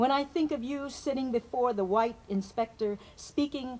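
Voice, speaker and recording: Fairly slow, fairly high-pitched speech from a woman, with ordinary pitch variation. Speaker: poet. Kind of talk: poetry reading.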